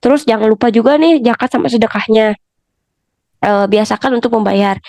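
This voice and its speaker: A woman speaks at a fairly quick pace with a dark, mellow tone, a fairly high pitch, ordinary pitch variation and very even loudness. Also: dry, close sound with no echo. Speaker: podcast host teaching family topics. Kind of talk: educational talk. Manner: casual, with many fillers.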